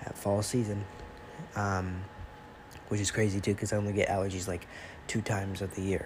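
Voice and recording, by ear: At a fairly quick pace, a man speaks low and nasal with monotone, flat intonation.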